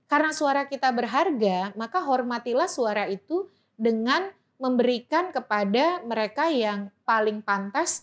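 A woman talks fairly slowly, her high pitch rising and falling with lively intonation. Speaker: election researcher and law lecturer; law lecturer. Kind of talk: interview. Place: studio. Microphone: studio mic.

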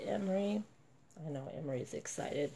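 With vocal fry in a dark, mellow tone, a woman talks at a moderate pace using lively intonation. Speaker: reborn doll collector vlogger. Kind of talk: casual vlog. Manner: soft baby talk.

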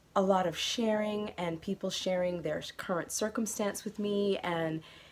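Intonation stays fairly even as a woman talks. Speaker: knitting podcaster. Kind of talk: casual vlog chat. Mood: warm, grateful. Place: home room. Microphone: phone near.

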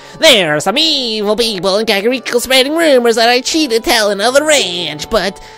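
A female-sounding voice does a put-on character voice at a fairly high pitch for a woman. Clear music plays in the background. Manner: exaggerated, comical.

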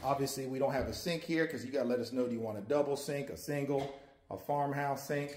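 A somewhat breathy man with an American accent talks at a very fast pace over light background noise, with audible room echo. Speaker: cabin salesman. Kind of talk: tour guide walkthrough and sales pitch, talking to the camera. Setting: filming on location, outdoors and inside a cabin. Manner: casual, upbeat, chatty; folksy, friendly, rambling. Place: empty room. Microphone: phone near.

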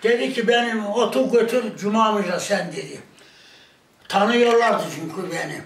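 A man with a high pitch and ordinary pitch variation is heard with audible room echo. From Turkey. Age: 80s+. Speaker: villager; village elder storyteller. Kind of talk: casual chat. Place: home room.

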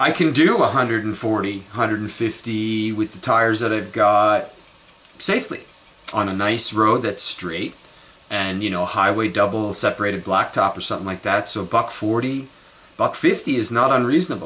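In a Canadian accent, a man speaks at a fairly slow pace with a fairly low pitch and ordinary pitch variation. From Montreal, Canada; Quebec, Canada. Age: 50s. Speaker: vlogger. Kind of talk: casual monologue vlog. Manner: rambling, conversational. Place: kitchen. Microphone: webcam.

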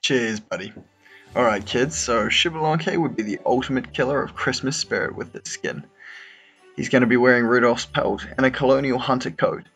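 A man at a moderate pace and medium pitch, ordinary pitch variation, music in the background. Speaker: guest presenting his own concept on a gaming video show. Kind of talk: casual, jokey presentation.

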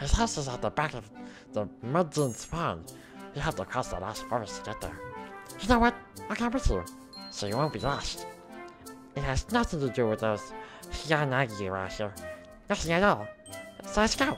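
Using a put-on character voice at a medium pitch, a man talks at a moderate pace with long, frequent pauses while clear music plays in the background. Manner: cute, friendly.

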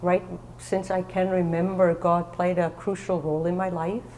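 With light background noise, a woman speaks at a moderate pace in a fairly low, monotone voice with flat intonation. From Germany. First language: German. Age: 50s. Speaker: author sharing mental illness story. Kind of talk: testimony. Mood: calm, reflective personal story. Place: church.

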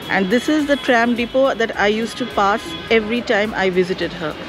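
Against clear background music, a woman speaks at a moderate pace with ordinary pitch variation in dry sound with no echo. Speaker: blogger. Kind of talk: casual vlog chat. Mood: nostalgic, warm. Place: cafe. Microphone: phone near.

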